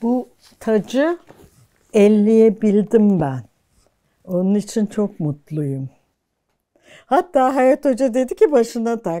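Over a quiet background, a woman with a fairly high pitch and a dark, mellow tone speaks at a very slow pace, her pitch swinging very widely between long, frequent pauses. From Turkey, Ankara. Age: 70s. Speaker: archaeology professor. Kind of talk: life-story interview. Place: home room. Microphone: lapel.

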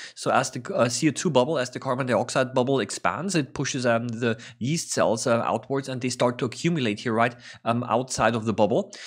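Spoken at a fairly quick pace with ordinary pitch variation, the voice sits over a quiet background. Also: man. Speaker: science educator. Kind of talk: tutorial commentary. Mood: calm, interested. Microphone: studio mic.

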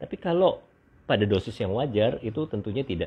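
With very wide pitch swings, a man speaks at a fairly quick pace and a fairly low pitch. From Indonesia. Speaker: doctor hosting beauty livestream. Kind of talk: livestream monologue. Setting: live stream. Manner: halting with many fillers. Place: home room. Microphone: earbuds.

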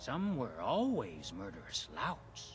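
In a put-on character voice, someone speaks at a fairly slow pace over clear music in the background. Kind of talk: scripted game dialogue. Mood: grim warning.

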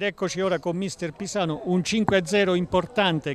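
At a moderate pace, a man talks at a high pitch. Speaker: football commentator and interviewer. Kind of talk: live commentary. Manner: excitable.

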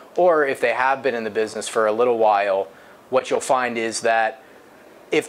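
A man talks at a fairly quick pace with ordinary pitch variation. Light background noise sits under his voice. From US Midwest, Akron, Ohio; Ohio. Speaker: payment processing specialist. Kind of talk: interview. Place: office.

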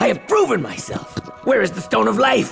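A man puts on a high-pitched cartoonish character voice with a fairly bright tone, vocal fry and big pitch swings. Faint music plays in the background. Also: moderate pace.

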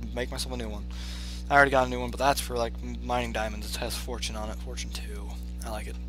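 A man with a very deep, low voice speaks very fast in a flat monotone, the sound dry with no echo and clear music playing behind him. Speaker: gamer. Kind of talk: casual gameplay commentary. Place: home room.

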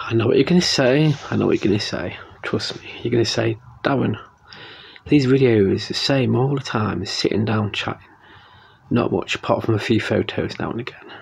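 Pitch variation in this man's voice is ordinary. He keeps a moderate pace. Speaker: vlogger. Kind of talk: casual vlog chat. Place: home room. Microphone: phone near.

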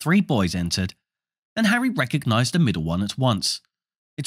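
A quiet background with plain reading aloud.

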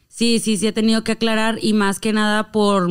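A woman speaks at a moderate pace with a Monterrey accent. The background is quiet. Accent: Monterrey (regio). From Mexico, Monterrey; Nuevo León, Mexico. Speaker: singer and performer; podcast guest. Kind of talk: casual chat. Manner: forceful, clipped regio delivery. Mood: relaxed, playful. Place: studio. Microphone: studio mic.

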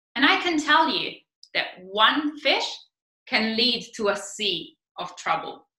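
A raised, projected voice with an Italian accent and a bright, sharp tone moves at a very slow pace. Audible room echo surrounds it against a quiet background. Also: woman. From Italy. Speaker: PhD researcher, marine biologist. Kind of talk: science communication talk. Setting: stage competition presentation. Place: home room. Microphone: webcam.

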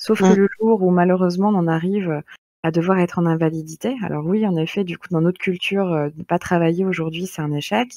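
In a plain, everyday voice, a woman speaks at a fairly low pitch and a fairly quick pace with fairly even intonation. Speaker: podcast host. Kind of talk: moderated group discussion.

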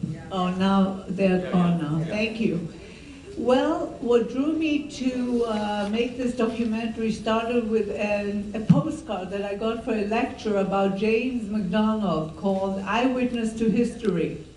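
Amid light background noise and audible room echo, a woman speaks at a fairly slow pace, her fairly high pitch showing ordinary variation. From Israel. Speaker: filmmaker; filmmaker on panel. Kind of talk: panel Q&A after a screening. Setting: stage with audience. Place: hall.

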